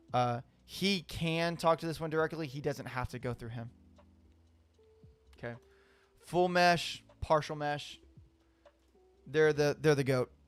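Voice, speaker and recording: With music in the background, a man speaks fairly slowly at a fairly high pitch, with ordinary pitch variation, big swings in loudness, and long, frequent pauses. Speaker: IT certification student streamer. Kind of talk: live study stream. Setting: live stream.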